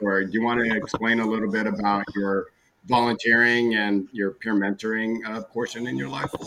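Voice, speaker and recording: At a fairly quick pace, a man with a normal speaking voice and medium pitch keeps his intonation fairly even. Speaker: co-host or panelist. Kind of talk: casual chat.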